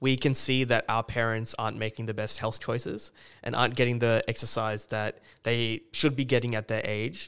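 This man speaks with an Australian accent at medium pitch. His intonation stays fairly even at a moderate pace. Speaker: podcast host. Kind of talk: casual interview.

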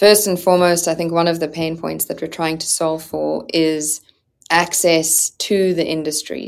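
The intonation is monotone and flat. The recording is very clean, with a silent background. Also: woman. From South Africa. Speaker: startup founder and CEO. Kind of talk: interview.

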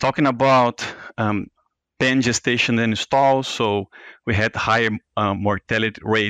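In a quiet background with a dry, close sound and no echo, a man at medium pitch talks at a moderate pace in a monotone, flat intonation with a bright, sharp tone. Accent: Portuguese. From Brazil. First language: Portuguese. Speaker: veterinary researcher. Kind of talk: interview. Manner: halting, frequent fillers.

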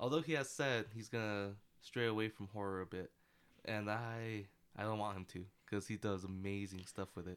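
A man at a fairly low pitch and moderate pace, with a normal speaking voice and ordinary pitch variation. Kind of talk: casual chat.

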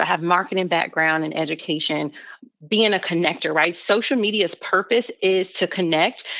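A woman with a normal speaking voice talks at a medium pitch and moderate pace, with ordinary pitch variation. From Chicago. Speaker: social media agency owner. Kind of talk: interview.

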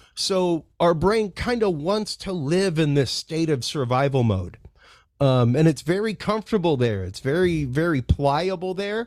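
Lively in intonation, a man with an ordinary speaking voice talks at a fairly slow pace and a fairly high pitch, on a very clean recording with a silent background. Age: 40s. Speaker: composer of meditation music. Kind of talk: interview.

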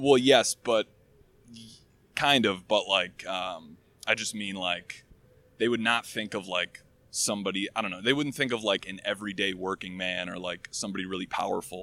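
An ordinary speaking voice with an American accent, moderate pace and ordinary pitch variation, on a very clean recording with a silent background. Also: man, fairly low pitch for a man. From Michigan. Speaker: software engineer. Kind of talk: casual chat. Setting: outdoors.

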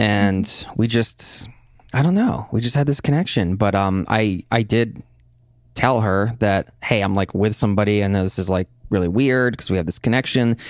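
An unremarkable speaking voice with an American accent comes through on a very clean recording with a silent background, showing ordinary pitch variation and very even loudness. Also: man. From US Northeast. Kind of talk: interview conversation. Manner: casual, filler-heavy.

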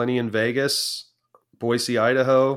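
A man with a Californian accent, on a very clean recording with a silent background. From Southern California. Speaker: auctioneer. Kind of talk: interview.

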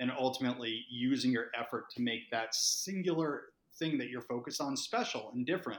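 A man with an American accent and an unremarkable speaking voice talks at a fairly quick pace, medium pitch and ordinary pitch variation. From Massachusetts. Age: 40s. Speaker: startup founder and CEO. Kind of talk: podcast interview.

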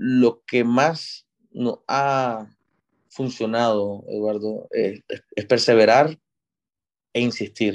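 The speech moves at a very slow pace with fairly even intonation and long, frequent pauses against a quiet background. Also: man, medium pitch for a man. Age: 20s. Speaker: civil engineer, construction manager. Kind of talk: interview. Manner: halting, many fillers.

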